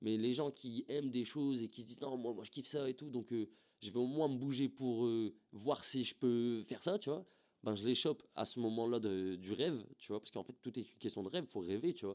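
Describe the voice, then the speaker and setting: A man uses an ordinary speaking voice at medium pitch, with ordinary pitch variation and a fairly quick pace. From northern France, Templeuve near Roubaix. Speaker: rapper. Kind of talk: casual interview chat. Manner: casual, filler-heavy slang speech.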